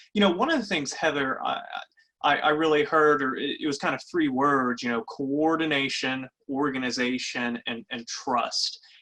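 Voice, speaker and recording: Moderate pacing with a Kentucky accent. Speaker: webinar moderator. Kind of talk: webinar panel discussion. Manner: halting.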